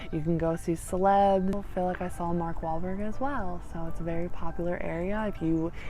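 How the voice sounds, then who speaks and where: Over music in the background and with audible room echo, a woman with a fairly low pitch talks at a fairly quick pace, with hardly any pauses and fairly even intonation. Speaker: lifestyle vlogger. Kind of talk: casual talk to camera. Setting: outdoors. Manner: loud; mumbling at times.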